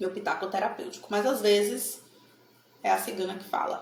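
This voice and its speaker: An animated voice with a Bahian accent comes through noticeable background noise and audible room echo. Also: woman. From Bahia, Brazil (Salvador). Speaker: tarot card reader. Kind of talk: casual talk to camera.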